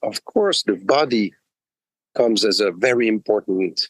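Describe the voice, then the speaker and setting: A man with a French-Swiss accent at a fairly slow pace, in a dry, close sound with no echo. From Switzerland, French-speaking. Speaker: executive coach. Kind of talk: interview. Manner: halting, many fillers.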